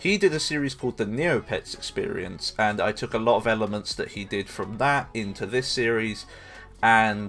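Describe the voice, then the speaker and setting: Music plays in the background as a man speaks in a fairly low pitch. He keeps a moderate pace and fairly even intonation. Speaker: gaming YouTuber. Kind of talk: scripted game review narration; casual outro thanks. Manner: stuttering in places.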